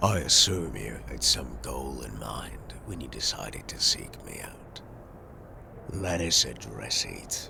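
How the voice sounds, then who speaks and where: A man whispers in a put-on character voice at a fairly slow pace. His loudness swings widely. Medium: actual play. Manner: solemn, formal.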